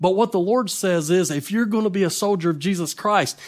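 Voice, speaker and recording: A man with a Southern US accent speaks at a high pitch. The recording is very clean, with a silent background. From North Carolina. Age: 40s. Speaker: evangelist preacher. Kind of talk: sermon.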